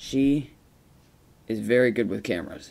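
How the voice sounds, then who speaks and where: There is vocal fry in this man's voice, which sits at a medium pitch with ordinary pitch variation. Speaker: narrator of a mock cat documentary. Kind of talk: mock nature documentary voiceover about a pet cat. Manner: slow, measured, with repeated emphasis on words like very.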